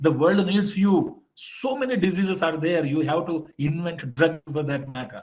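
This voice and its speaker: A man's animated, high-pitched voice with lively intonation, moderate pace and hardly any pauses. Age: 50s. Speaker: motivational speaker. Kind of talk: motivational lecture.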